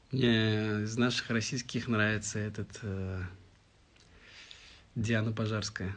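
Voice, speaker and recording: In a strong Tatar accent, a man talks at a very slow pace with monotone, flat intonation. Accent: strong Tatar accent when singing in Russian. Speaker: singer answering fans in a live stream. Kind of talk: live stream Q&A reading viewer comments.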